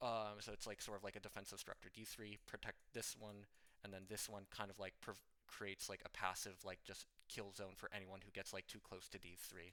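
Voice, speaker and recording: The tone is bright and sharp, with monotone, flat intonation. The pace is fairly quick. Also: man, fairly low pitch for a man. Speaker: competitive video game player and coach. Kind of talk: improvised tutorial. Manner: fast; rambling with many fillers.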